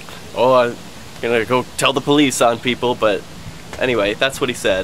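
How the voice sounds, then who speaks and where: Light background noise runs under the recording. The man speaks at a moderate speed. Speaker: activist vlogger. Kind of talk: casual vlog chat. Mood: relieved, slightly nervous. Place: street. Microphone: phone near.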